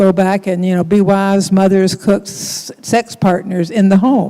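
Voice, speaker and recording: Over noticeable background noise, a woman with an American accent speaks at medium pitch and a moderate pace, her intonation fairly even. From US South. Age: 70s. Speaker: author and theologian. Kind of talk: panel discussion.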